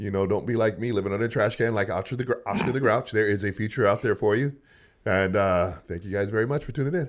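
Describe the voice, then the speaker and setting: A man with an American accent, very fast pace, fairly low pitch, animated tone and ordinary pitch variation. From US West. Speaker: podcast host and store owner. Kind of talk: casual chat.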